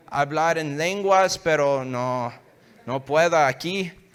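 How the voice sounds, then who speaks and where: A man's fairly high voice at a very slow pace. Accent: English. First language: English (speaking Spanish). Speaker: guest preacher. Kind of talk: sermon. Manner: halting, hesitant Spanish.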